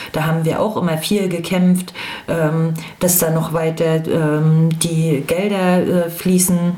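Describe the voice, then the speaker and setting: A very slow voice, with very even loudness and monotone, flat intonation, comes through audible room echo and noticeable background noise. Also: woman, fairly low pitch for a woman. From Rostock, eastern Germany. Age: 40s. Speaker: former activist. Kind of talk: interview testimony.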